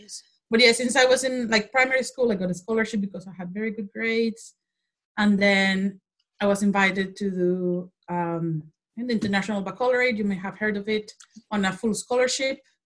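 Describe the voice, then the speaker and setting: In a Spanish accent, a woman talks at a fairly quick pace with a medium pitch. Her intonation is fairly even, though her loudness swings a lot. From Mexico. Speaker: social policy lecturer. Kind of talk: interview.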